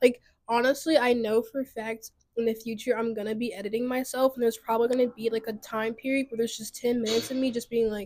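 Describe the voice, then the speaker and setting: Very fast and fairly high-pitched, a woman's speech races along. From small town. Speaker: podcast host. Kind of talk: casual solo monologue. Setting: outdoors on a balcony. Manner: animated.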